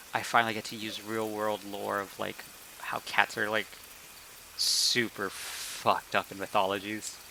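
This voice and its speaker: With big swings in loudness, a man speaks in a fairly low, monotone, flat voice amid noticeable background noise. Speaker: game master of tabletop role-play stream. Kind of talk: casual chat. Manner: fast.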